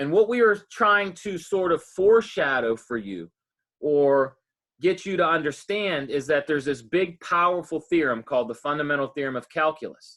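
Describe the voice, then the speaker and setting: Lively in intonation, a man with an ordinary speaking voice and fairly high pitch speaks at a moderate pace. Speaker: math professor. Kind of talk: lecture.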